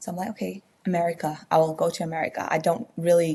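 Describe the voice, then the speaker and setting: This voice belongs to a woman. There is a somewhat breathy quality to it. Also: very clean recording, silent background. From Myanmar. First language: Burmese. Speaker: baker and former accountant. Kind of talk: podcast interview. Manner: halting, many fillers.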